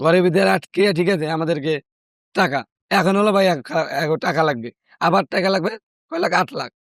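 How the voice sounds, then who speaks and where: A man talks with a high pitch. The recording sounds dry and close, with no echo. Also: ordinary pitch variation. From Madaripur, Bangladesh. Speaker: trafficking survivor, returned migrant. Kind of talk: interview answer.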